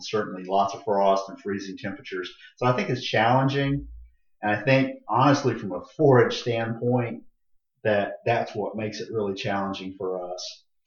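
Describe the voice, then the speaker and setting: In an American accent, a man of medium pitch speaks at a moderate pace with ordinary pitch variation, big swings in loudness, and audible room echo. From Florida, Tampa area. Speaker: county extension agent. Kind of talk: interview.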